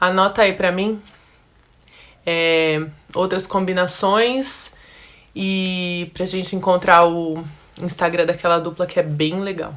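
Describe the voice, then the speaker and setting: Long, frequent pauses break up the very slow pace of a woman with a fairly low pitch and fairly even intonation. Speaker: style consultant. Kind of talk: live-stream class. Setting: Instagram live.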